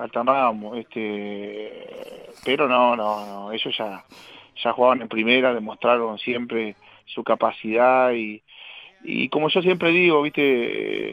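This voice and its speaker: A man with an unremarkable speaking voice, medium pitch and fairly slow pace. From Uruguay, Paysandú region. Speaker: retired footballer. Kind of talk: casual interview chat.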